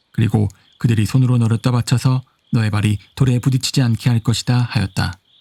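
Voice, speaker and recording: A man with a dark, mellow tone and a medium pitch speaks at a fairly quick pace, somewhat breathy, in a dry, close sound with no echo. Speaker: amateur Bible reader. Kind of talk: Bible reading.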